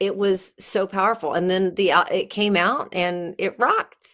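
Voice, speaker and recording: On a very clean recording with a silent background, a woman uses an ordinary speaking voice at a medium pitch and a moderate pace. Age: 50s. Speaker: singer-songwriter and breathwork facilitator. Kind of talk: interview.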